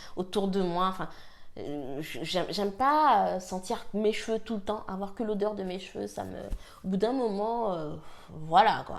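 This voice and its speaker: This woman's pitch is medium. She talks at a very slow pace. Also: ordinary pitch variation. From French Guiana. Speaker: hair care vlogger. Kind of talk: casual talk to camera, product review.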